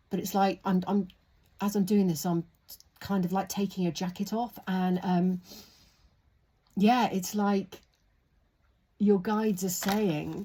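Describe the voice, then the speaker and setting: Somewhat breathy, with a dark, mellow tone, a woman speaks. Her pace is fairly slow and her intonation fairly even. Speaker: tarot reader. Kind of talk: tarot reading. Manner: soft-spoken.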